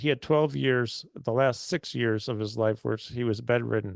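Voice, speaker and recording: Against a quiet background, a man speaks at a fairly slow pace. He has a plain, everyday voice at a medium pitch. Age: 60s. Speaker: health and fitness doctor, radio host. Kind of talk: webinar presentation. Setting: online webinar.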